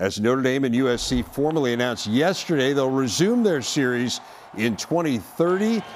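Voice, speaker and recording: A man with a normal speaking voice talks at a moderate pace and medium pitch, his intonation lively. His loudness stays very even. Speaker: sports broadcaster, show host. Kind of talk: studio host news segment.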